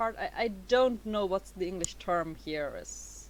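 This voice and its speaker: A woman with a non-native accent. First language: not English. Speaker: YouTuber. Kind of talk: tutorial. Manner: halting, many fillers.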